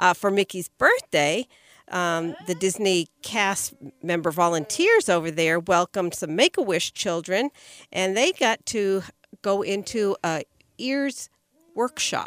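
A woman with a normal speaking voice speaks at a fairly slow pace and medium pitch, with ordinary pitch variation, in a dry, close sound with no echo. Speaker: podcast co-host. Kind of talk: casual chat.

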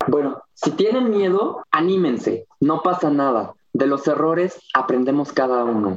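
Speech in a central Mexican accent moves at a fairly slow pace with hardly any pauses and very even loudness. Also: man, fairly high pitch for a man, lively intonation. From Mexico, Cuernavaca (Morelos). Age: 20s. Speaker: small business owner, organic gardens. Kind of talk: interview.

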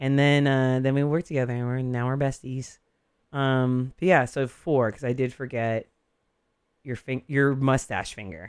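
An ordinary speaking voice from a man, medium in pitch, at a moderate pace with fairly even intonation. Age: 40s. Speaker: radio DJ and barber. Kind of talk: casual chat.

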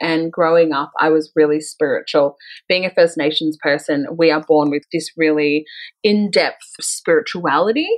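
A woman with an Australian accent speaks at a moderate pace in a fairly low pitch. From Melbourne, Australia. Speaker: spiritual coach and author. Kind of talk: interview.

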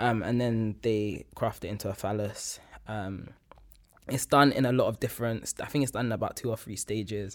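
A man at medium pitch talks with fairly even intonation in a plain, everyday voice, on a very clean recording with a silent background. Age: 20s. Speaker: academic and artist. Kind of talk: casual chat.

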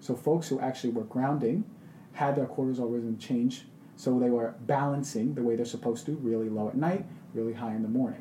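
A man with an unremarkable speaking voice and an American accent talks at a fairly quick pace, his medium pitch varying in an ordinary way. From Queens, New York. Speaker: functional medicine doctor. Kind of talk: casual interview.

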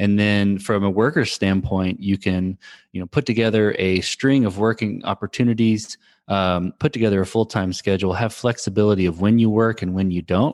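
In an ordinary speaking voice, a man talks fairly quickly at a fairly low pitch with fairly even intonation, the sound dry and close with no echo over a quiet background. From Texas. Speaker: startup founder and CTO. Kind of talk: interview. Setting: remote podcast recording. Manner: frequent fillers and restarts.

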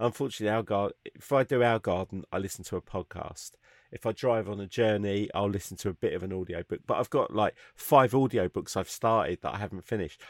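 Dry and close with no echo, a man with a British accent speaks very fast at a fairly low pitch with ordinary pitch variation. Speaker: podcast host. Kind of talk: casual chat. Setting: video call.

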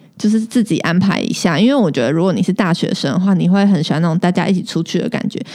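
A woman at medium pitch speaks at a very fast pace with hardly any pauses. Her intonation is lively, and there is noticeable background noise. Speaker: podcast co-host. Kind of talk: casual chat.

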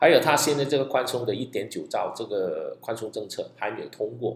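A man talks at a fairly quick pace. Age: 50s. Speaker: stock investing podcaster. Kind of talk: solo podcast monologue.

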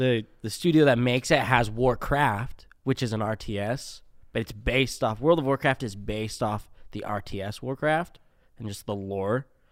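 A man speaks at a moderate pace with an American accent, using a normal speaking voice at medium pitch. His pitch varies in an ordinary way, while his loudness swings widely. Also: very clean recording, silent background. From Utah, Spanish Fork. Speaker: drain technician. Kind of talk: casual interview. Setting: studio.

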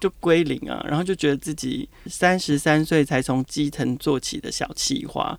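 A man talking at a moderate pace with hardly any pauses. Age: 40s. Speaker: marketing director. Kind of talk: interview. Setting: on location at his office.

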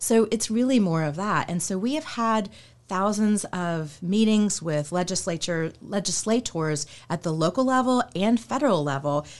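With lively intonation and an American accent, a woman speaks in an unremarkable speaking voice at medium pitch and a moderate pace against a quiet background. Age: 40s. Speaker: skincare company consultant, former attorney. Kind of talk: casual interview.

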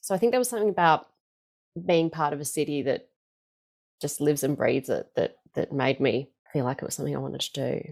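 In an Australian accent, a woman talks at a very fast pace, broken by long, frequent pauses. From Melbourne, Australia. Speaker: stage performer and singing teacher. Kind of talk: interview.

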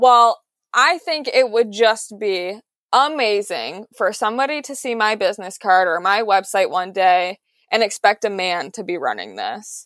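In a normal speaking voice, a woman with an American accent talks at a fairly slow pace with a fairly high pitch and lively intonation. The recording is very clean and the background silent. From Detroit, Michigan, US. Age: 20s. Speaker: car clay sculptor. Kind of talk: interview, casual chat.

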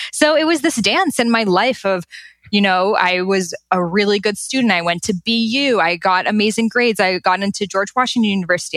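A woman with an American accent in a plain, everyday voice, medium in pitch with ordinary pitch variation, at a fairly quick pace with very even loudness, on a very clean recording with a silent background. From Boston, Massachusetts. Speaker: Ayurveda expert and author. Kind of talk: interview.

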